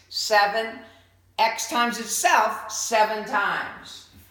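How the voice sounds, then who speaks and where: There is noticeable background noise and audible room echo around a woman's voice. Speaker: math teacher. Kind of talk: lecture.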